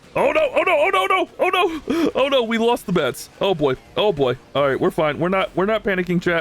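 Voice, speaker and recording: A man at a fairly quick pace and very even loudness, over noticeable background noise. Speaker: gaming youtuber. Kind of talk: live gameplay commentary. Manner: fast; animated.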